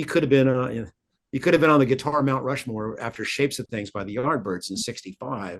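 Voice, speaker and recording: Talking at a very fast pace with lively intonation, a man at a medium pitch makes big swings in loudness. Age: 60s. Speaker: guitarist. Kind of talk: interview. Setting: podcast interview. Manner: halting, many repeated words.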